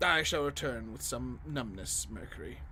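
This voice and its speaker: Someone performs a put-on character voice at a moderate pace. Background noise is clearly audible. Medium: video game. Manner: cryptic, riddling.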